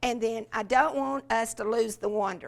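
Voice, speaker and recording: On a very clean recording with a silent background, a woman with a fairly high pitch speaks with a Southern US accent. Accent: Southern US (Georgia). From US South, rural Georgia. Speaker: education specialist, former teacher. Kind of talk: workshop talk. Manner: animated.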